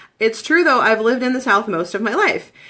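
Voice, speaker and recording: Speaking at a very fast pace, a woman has a Midwestern accent. Her tone is bright and sharp, with lively intonation. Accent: Midwest. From Michigan, US Midwest. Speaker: essential oils seller. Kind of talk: live-stream presentation. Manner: casual, lots of fillers.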